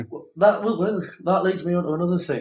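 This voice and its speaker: A man speaks with a Geordie accent. His voice is somewhat breathy. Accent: northeast English (Geordie). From northeast England, Newcastle area. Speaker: gaming podcast co-host. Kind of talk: casual chat. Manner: halting, many fillers.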